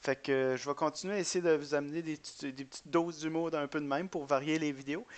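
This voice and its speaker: In a fairly high voice, a man talks very fast with fairly even intonation. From Quebec. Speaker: gaming YouTuber. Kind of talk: gameplay commentary. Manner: hesitant, many fillers and repetitions.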